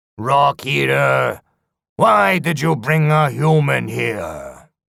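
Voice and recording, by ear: A man's put-on character voice, gravelly with vocal fry, medium-pitched with a fairly bright tone, lively intonation and a slow pace, on a very clean recording with a silent background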